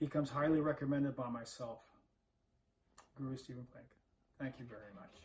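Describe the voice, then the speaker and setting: A somewhat breathy man's voice at a medium pitch, fairly quick pace and fairly even intonation. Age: 60s. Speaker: martial arts instructor. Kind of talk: recorded testimonial.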